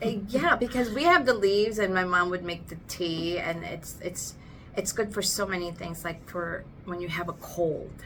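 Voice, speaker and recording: A woman is heard with audible room echo and music in the background. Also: medium pitch for a woman, ordinary pitch variation, moderate pace. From Philippines. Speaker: podcast host. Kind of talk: casual chat. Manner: loud.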